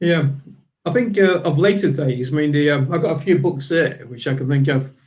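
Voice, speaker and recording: The voice is somewhat breathy, with ordinary pitch variation and a fairly quick pace. Audible room echo surrounds it. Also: man, fairly high pitch for a man. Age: 60s. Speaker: panelist. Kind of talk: convention panel discussion.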